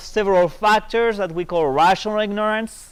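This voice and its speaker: A man with a French accent, a high pitch and ordinary pitch variation. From France. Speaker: economics professor. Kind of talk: lecture.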